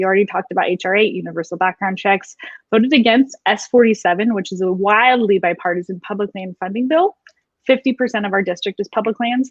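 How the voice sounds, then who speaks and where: Very fast speech comes from a woman with an American accent. Her pitch is medium, with ordinary variation. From northern California. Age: 30s. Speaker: political candidate. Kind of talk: interview. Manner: animated.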